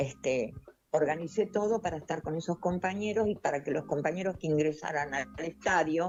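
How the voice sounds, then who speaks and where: Music plays in the background as a woman speaks. Her very deep, low pitch shows ordinary variation. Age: 80s+. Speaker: retired nurse, activist. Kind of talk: interview testimony.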